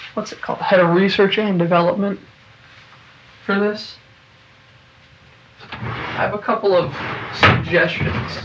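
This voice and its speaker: The speech moves at a fairly slow pace with long, frequent pauses. Noticeable background noise sits behind it. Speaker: solo podcast host and indie musician. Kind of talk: casual rambling monologue. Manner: hesitant, many fillers and repeated words.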